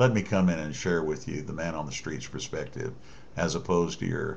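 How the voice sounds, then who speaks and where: A man's very deep, low voice with vocal fry and lively intonation, carrying audible room echo. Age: 60s. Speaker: political commentator. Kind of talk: political monologue addressed to the president. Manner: halting, many fillers and restarts.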